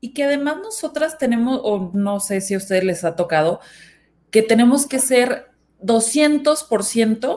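With ordinary pitch variation, a woman speaks very slowly in a fairly high voice. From northern Mexico, Nuevo León. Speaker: marketing head. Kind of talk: panel discussion.

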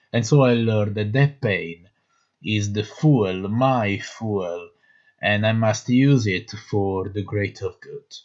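Very slow male speech in an Italian accent, fairly low in pitch with ordinary pitch variation, against a quiet background. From Naples, Italy. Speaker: actor. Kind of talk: personal testimony monologue.

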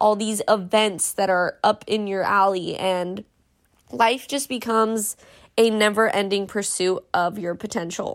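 The recording is very clean, and the background is silent. A woman sounds animated at a fairly high pitch, with ordinary pitch variation. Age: 20s. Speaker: life coach and podcast host. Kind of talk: motivational monologue.

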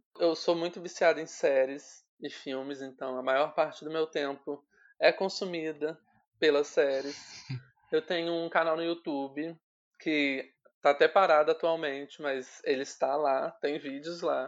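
Speaking fairly slowly, a man with a fairly high voice keeps his intonation monotone and flat. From Rio de Janeiro state interior, Volta Redonda. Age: 20s. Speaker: journalist. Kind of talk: casual interview.

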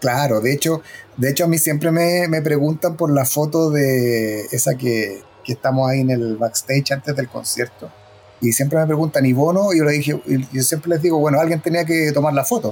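Ordinary pitch variation in a plain, everyday voice from a man, set fairly high in pitch. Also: moderate pace, very even loudness. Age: 50s. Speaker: former record label press officer. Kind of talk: interview.

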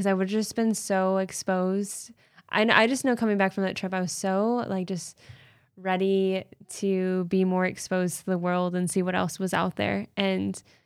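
A woman's mid-pitched voice stays monotone and flat, moving at a moderate pace. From US Midwest, Canton, Michigan. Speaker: pediatric operating room nurse. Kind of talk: casual interview chat.

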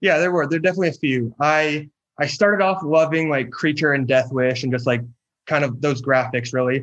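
Against a quiet background, a man speaks with a West Coast accent. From US Pacific Northwest, near Seattle. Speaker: graphic designer and illustrator. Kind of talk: casual interview.

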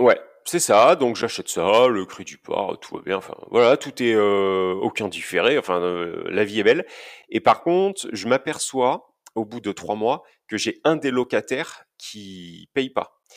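Speaking very slowly, a man at medium pitch makes big swings in loudness. The recording is very clean, with a silent background. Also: lively intonation. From Basque Country, France. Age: 30s. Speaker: property investor. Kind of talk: interview. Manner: outspoken.

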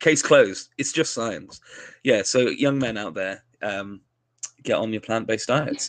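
Delivered in a normal speaking voice, the speech moves at a fairly slow pace. Pitch variation is ordinary. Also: man, medium pitch for a man. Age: 30s. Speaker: emergency doctor and podcast host. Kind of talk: casual chat.

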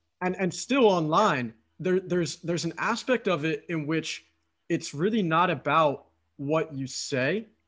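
At a fairly slow pace, a man talks with a high pitch in a Philadelphia accent. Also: ordinary pitch variation. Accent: Philadelphia American English. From Philadelphia, US. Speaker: podcast host and dating coach. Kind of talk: casual interview chat. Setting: remote call.

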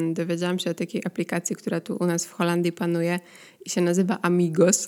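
In a very clean recording with a silent background, a woman speaks in a fairly low voice. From Poland. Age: 30s. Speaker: podcast host. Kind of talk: casual solo monologue. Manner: conversational, many filler sounds.

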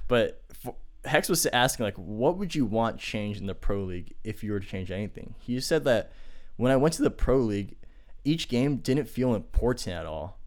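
A plain, everyday voice from a man, medium in pitch, with lively intonation at a moderate pace. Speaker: podcast host. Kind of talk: casual chat. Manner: casual, talkative.

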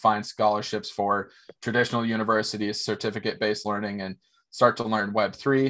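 This man has an American accent and a fairly low pitch. He talks at a very fast pace with fairly even intonation. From small-town Minnesota, US. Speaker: tech company executive. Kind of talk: interview.

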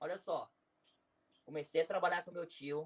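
A man talks at a fairly slow pace. His pitch is fairly high and his intonation fairly even. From Brazil, Nova Iguaçu (Rio de Janeiro). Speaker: YouTuber and businessman. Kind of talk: interview, life story. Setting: live stream.

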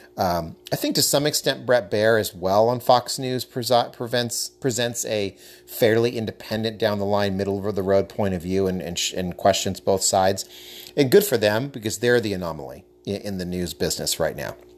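In an American accent, a man with a fairly low-pitched, normal speaking voice talks at a moderate pace. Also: ordinary pitch variation. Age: 30s. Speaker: podcast host. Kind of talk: solo commentary podcast.

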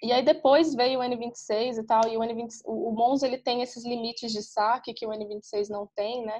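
A woman with an ordinary speaking voice talks at a fairly high pitch. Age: 20s. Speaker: travel podcaster and digital nomad. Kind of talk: casual interview.

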